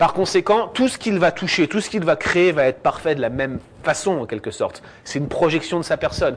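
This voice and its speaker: Over noticeable background noise, a high-pitched man talks at a fairly quick pace with lively intonation. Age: 30s. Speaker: theology student and guest speaker. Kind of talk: lecture. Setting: church with audience.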